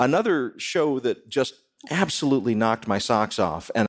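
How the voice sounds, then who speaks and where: In an ordinary speaking voice, a man talks at a fairly slow pace and medium pitch. The recording is very clean with a silent background. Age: 50s. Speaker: radio host and spirituality professor. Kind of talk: live podcast panel discussion; scripted topic introduction. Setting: live taping before an audience.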